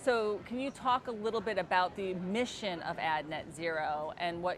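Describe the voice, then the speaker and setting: In a New Jersey accent, a woman speaks at a fairly slow pace with a medium pitch. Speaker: agency executive interviewer. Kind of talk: interview. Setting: conference booth.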